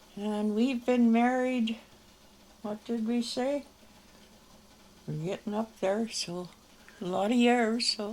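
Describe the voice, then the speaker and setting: A woman's fairly high voice in a western Canadian accent, very slow, with fairly even intonation. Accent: rural western Canadian. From Canada, rural Alberta. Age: 80s+. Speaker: elderly local museum owner. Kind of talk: interview. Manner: halting.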